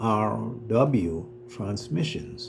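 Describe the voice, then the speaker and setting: A man with an American accent speaks with lively intonation. Room echo is audible and background noise is noticeable. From Trinidad. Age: 70s. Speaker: retired business owner telling his life story. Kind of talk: personal testimony. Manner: soft-spoken.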